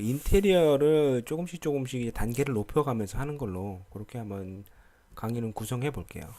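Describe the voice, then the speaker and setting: On a very clean recording with a silent background, a man speaks at a fairly quick pace. His medium-pitched voice has a dark, mellow tone and lively intonation. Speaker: lighting software instructor. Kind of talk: tutorial. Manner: hesitant, many fillers.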